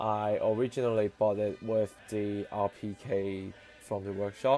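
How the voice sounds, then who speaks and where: A man's fairly low voice, monotone and flat in intonation, at a fairly slow pace over music in the background. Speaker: scale model reviewer. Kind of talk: scripted voiceover review.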